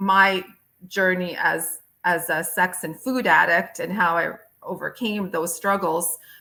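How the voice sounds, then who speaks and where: A woman speaks with an American accent and a bright, sharp tone, using ordinary pitch variation. The recording is very clean, with a silent background. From United States. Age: 50s. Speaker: physician and author. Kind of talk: podcast interview. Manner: halting, many fillers.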